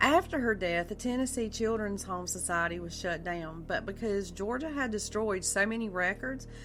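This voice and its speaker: Over music in the background, a woman with a South Carolina accent speaks at a moderate pace with hardly any pauses. Her medium pitch carries lively intonation. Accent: Southern US (South Carolina). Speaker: podcast host. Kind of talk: true crime narration. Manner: casual, conversational with fillers.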